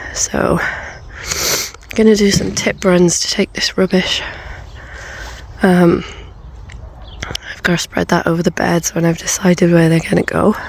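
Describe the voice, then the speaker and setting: Through noticeable background noise, a woman with a British accent talks at a fairly slow pace with long, frequent pauses. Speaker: allotment gardener. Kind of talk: casual talk to camera.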